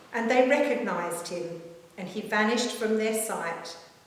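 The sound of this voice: Slow, lively speech rings out in strong room echo. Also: woman.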